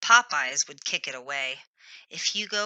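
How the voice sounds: Words are read out. The reading voice is natural.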